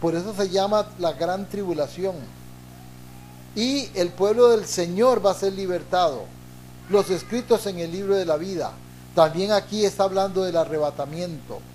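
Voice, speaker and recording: Pausing long and often, a man talks at a fairly slow pace in a high voice with ordinary pitch variation. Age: 60s. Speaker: pastor. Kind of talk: sermon.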